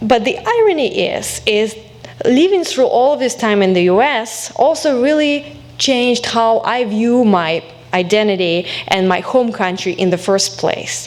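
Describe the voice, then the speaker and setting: Against noticeable background noise, a woman speaks with a fairly high pitch and lively intonation. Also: fairly slow pace. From Belarus. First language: Belarusian or Russian. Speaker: alumna guest speaker, academic. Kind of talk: speech to college audience.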